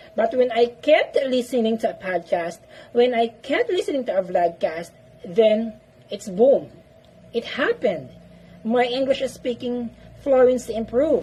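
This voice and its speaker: Speaking with a Filipino accent, the voice has lively intonation at a fairly slow pace. Long, frequent pauses break up the speech. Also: woman, high pitch for a woman. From Philippines. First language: Filipino language (not English). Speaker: English-speaking vlogger. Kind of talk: tutorial. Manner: repetitive, emphatic.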